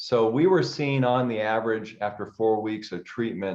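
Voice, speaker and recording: A man's fairly low voice at a moderate pace. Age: 60s. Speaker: chiropractor. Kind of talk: interview on a group call. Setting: group call. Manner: hesitant, many filler words.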